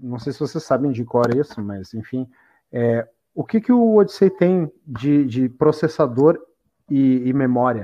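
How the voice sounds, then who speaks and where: Lively intonation from a man with medium pitch and a dark, mellow tone, at a fairly slow pace in a quiet background. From Porto Alegre, Brazil. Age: 30s. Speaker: podcast host. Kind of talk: casual chat.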